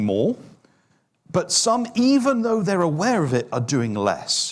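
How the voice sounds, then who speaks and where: In a British accent, a man talks at a fairly slow pace. His pitch swings very widely. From UK. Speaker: fitness industry speaker. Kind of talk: online forum presentation. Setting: online forum.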